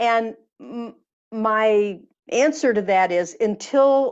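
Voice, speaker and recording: A woman with an unremarkable speaking voice talks at medium pitch with lively intonation over a quiet background. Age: 60s. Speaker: energy healer and author. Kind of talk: interview.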